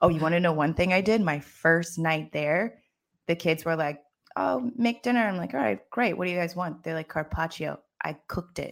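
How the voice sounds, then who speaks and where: With an ordinary speaking voice and lively intonation, a woman talks at a moderate pace on a very clean recording with a silent background. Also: fairly low pitch for a woman. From US, Maryland. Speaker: business and career coach. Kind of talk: casual interview chat.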